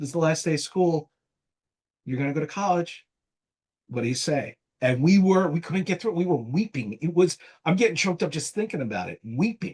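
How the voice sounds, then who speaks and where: Fairly high in pitch, a man with a New Jersey accent speaks with lively intonation. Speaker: marketing agency founder. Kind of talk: casual interview.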